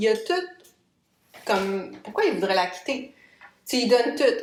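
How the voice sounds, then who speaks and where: A woman speaks at a moderate pace. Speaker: podcast host, massage therapist, hypnotherapist, coach. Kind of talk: casual personal podcast monologue. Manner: conversational, informal, storytelling.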